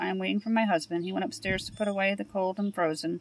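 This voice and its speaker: A woman talks with ordinary pitch variation. The sound is dry, with no echo. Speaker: grocery haul vlogger. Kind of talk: casual vlog chat. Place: car. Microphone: phone near.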